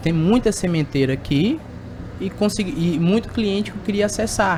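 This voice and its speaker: A man's lively intonation rises over noticeable background noise. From Tocantins, Brazil. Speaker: sales representative for agricultural machinery. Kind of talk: podcast interview. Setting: at an agricultural fair.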